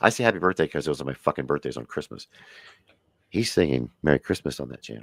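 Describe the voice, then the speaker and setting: Very wide pitch swings and vocal fry mark a man talking at a very fast pace, in a dry, close sound with no echo. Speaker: live stream host. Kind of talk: casual chat. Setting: live stream. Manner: animated.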